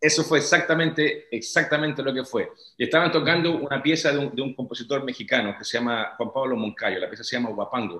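A man's very fast, bright, sharp speech in a Chilean accent, with hardly any pauses, ordinary pitch variation, audible room echo and a quiet background. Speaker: orchestral timpanist. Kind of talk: interview answer. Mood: warm, reminiscing. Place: home room. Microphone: video call.

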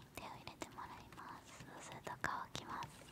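A woman speaks in a soft-spoken way. She is whispering. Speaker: nail salon roleplay host. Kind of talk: soft-spoken roleplay instruction. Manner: soft close-mic ASMR whisper. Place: home room. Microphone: studio mic.

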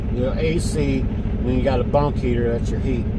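A man talks while loud noise fills the background. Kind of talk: casual vlog chat. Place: car. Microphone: phone near.

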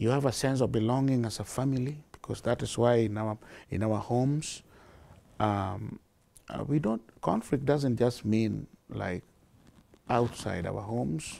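A man's medium-pitched voice, dark and mellow in tone, at a fairly slow pace with ordinary pitch variation and long, frequent pauses. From Kenya. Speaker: charity founder and director. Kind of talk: interview answer. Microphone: lapel.

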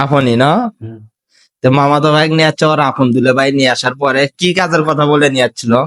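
A man with an ordinary speaking voice, fairly high in pitch, with fairly even intonation and very even loudness. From Bangladesh. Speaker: vlogger, migrant worker. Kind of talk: casual interview vlog.

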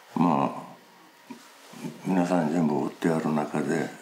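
A man's very deep, low voice at a moderate pace, with noticeable background noise. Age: 70s. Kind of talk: interview answer.

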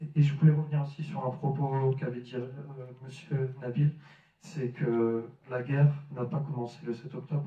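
Over audible room echo, a man speaks at a very slow pace in a medium pitch, his tone dark, mellow and somewhat breathy, with fairly even intonation. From France, Lille; France. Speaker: Franco-Palestinian activist speaker; speaker. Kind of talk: public debate talk. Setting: village hall with audience. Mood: earnest, serious. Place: hall. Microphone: handheld.

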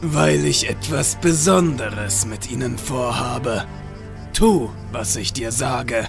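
Clear music plays in the background as a man uses a put-on character voice. He speaks at a medium pitch and a fairly slow pace. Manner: cold, menacing, calm.

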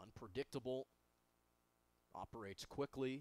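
A man at medium pitch and a fairly slow pace, in a dry, close sound with no echo. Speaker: baseball play-by-play announcer. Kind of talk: live sports commentary. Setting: stadium broadcast booth. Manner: upbeat, enthusiastic and polished.

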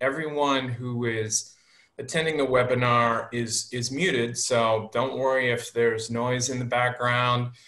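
In a bright, sharp tone, the voice moves at a fairly slow pace against audible room echo. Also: man. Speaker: webinar host. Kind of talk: host introduction. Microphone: video call.

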